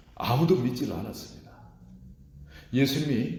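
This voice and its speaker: A man with a medium pitch speaks at a moderate pace, his tone dark and mellow with vocal fry. Audible room echo surrounds the voice. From rural South Korea. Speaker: pastor. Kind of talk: sermon.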